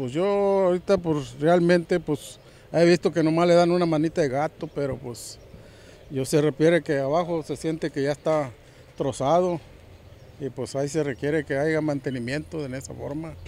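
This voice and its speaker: A man speaks at a moderate pace in a fairly high voice with a dark, mellow tone and fairly even intonation. The sound is dry with no echo, over light background noise. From Pueblo Viejo, Veracruz, Mexico; Veracruz, Mexico. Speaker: local resident. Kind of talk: street interview. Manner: halting. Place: waterside. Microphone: handheld.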